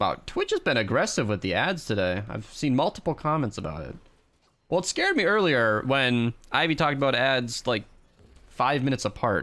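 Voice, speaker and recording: A fairly quick pace with very wide pitch swings, in a very clean recording with a silent background. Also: man, medium pitch for a man. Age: 20s. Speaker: streamer. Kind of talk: casual chat.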